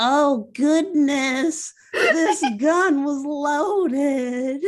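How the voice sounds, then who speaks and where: Her voice pitched high and her delivery very slow, a woman performs in a put-on character voice. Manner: awkward, stilted delivery.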